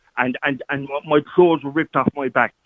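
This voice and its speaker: Here a man talks at a fairly high pitch. His voice sounds strained. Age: 40s. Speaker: caller. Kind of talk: phone-in call, personal testimony. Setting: phone call. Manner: emotional, strained.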